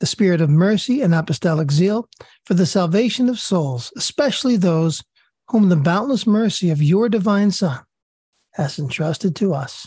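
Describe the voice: The voice is raspy with a slightly husky edge and a dark, mellow tone. Intonation is lively at a moderate pace, in a dry, close sound with no echo. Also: woman, fairly low pitch for a woman.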